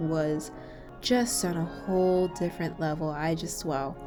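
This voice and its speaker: Music plays in the background as a woman with an American accent talks at a moderate pace with ordinary pitch variation. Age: 20s. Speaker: exchange student. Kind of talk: scripted narration.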